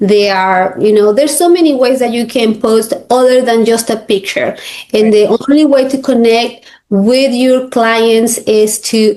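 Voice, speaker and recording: With a Spanish accent, a woman speaks in a dark, mellow, fairly high voice at very even loudness, with ordinary pitch variation. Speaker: realtor and coach. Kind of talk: interview. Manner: halting.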